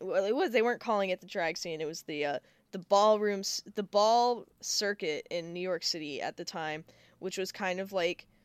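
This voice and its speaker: A woman with a normal speaking voice talks at a moderate pace and medium pitch. The recording is very clean, with a silent background and a dry, close sound with no echo. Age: 20s. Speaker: podcast co-host. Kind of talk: casual chat.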